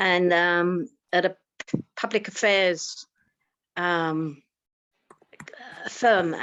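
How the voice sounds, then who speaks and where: A woman with an Essex accent speaks at a medium pitch. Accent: Romford. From Romford, east London area. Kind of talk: conversational interview.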